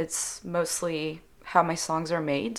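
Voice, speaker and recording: With a French accent, a woman speaks at a fairly low pitch in fairly even intonation, recorded very cleanly against a silent background. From Switzerland. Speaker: singer-songwriter. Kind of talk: interview.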